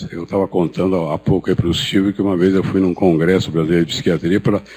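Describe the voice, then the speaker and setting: This man's voice sits at a very deep, low pitch. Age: 70s. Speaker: psychiatrist and professor. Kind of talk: conference talk. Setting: stage with audience. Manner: hesitant, with repetitions.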